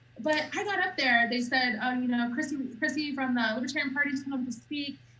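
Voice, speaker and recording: Raised and projected, the voice comes very fast with a bright, sharp tone and an American accent, and room echo is audible. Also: woman, high pitch for a woman, ordinary pitch variation. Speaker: political party spokesperson. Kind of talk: casual interview chat. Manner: loud, outspoken.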